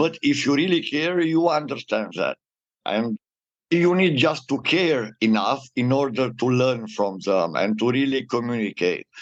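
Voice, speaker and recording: This man has a plain, everyday voice at a medium pitch with lively intonation. He talks at a fairly slow pace in a dry, close sound with no echo. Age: 60s. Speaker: data protection consultant. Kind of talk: interview.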